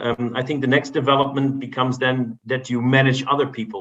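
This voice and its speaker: A man speaks with a Dutch accent in a flat, monotone intonation. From Netherlands. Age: 50s. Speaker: business executive and board member. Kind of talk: podcast interview. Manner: halting, many repetitions.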